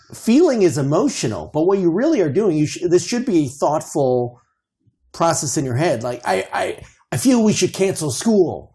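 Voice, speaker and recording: A man with an American accent speaks at a moderate pace, his pitch swinging very widely. His tone is dark and mellow. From Chicago suburbs, US Midwest. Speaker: guest, parent, former student. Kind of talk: casual interview conversation.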